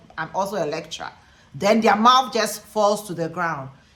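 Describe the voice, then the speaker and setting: A woman speaks in an animated tone with a Ghanaian accent, moving at a fairly quick pace with ordinary pitch variation. Noticeable background noise runs behind her. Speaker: teacher and lecturer, video blogger. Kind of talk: casual vlog monologue.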